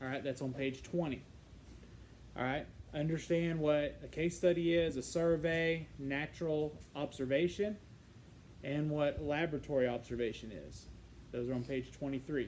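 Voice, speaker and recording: A man's fairly high voice with fairly even intonation at a moderate pace, long, frequent pauses and audible room echo. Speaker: psychology teacher. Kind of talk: lecture. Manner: halting, many fillers.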